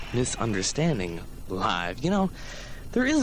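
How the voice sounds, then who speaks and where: Amid noticeable background noise, a man with an American accent speaks in an upbeat tone. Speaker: college radio DJ. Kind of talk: college radio show host patter. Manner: casual, chatty, upbeat.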